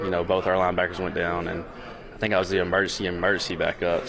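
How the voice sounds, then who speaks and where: A man speaks with a Southern accent in a very deep, low voice. The room echoes audibly, and background noise is noticeable. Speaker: pro football player. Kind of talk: press conference answers. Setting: press conference. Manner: halting, many fillers.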